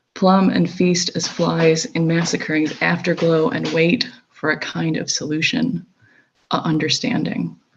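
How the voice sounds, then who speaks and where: A woman speaks with an upstate New York accent at a fairly slow pace. Her pitch is fairly low, with ordinary pitch variation. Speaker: poet. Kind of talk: poetry reading.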